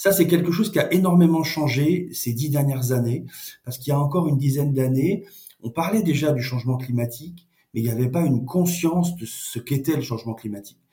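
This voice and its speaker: A man speaks fairly quickly at a fairly high pitch, his dark, mellow tone somewhat breathy, with ordinary pitch variation. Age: 50s. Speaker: NGO director. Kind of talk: interview. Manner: halting, repeats words.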